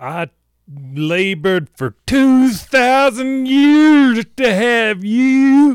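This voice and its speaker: In a put-on character voice, a man speaks very slowly at an extremely high pitch with lively intonation, the sound dry and close with no echo. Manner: guilt-tripping, maternal.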